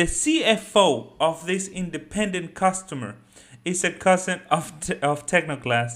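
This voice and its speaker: A man with a Spanish accent, very slow yet lively in intonation, in a very clean recording with a silent background. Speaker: finance YouTuber. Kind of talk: solo video commentary.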